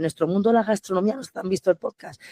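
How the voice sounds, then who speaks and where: A dark, mellow tone with ordinary pitch variation, dry and close with no echo. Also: woman. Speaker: restaurant owner and manager. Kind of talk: podcast interview. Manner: fast, animated.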